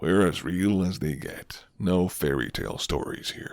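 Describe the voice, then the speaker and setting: A man's put-on character voice, very deep and low, at a moderate pace. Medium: solo performance. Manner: low, flirty, unhurried.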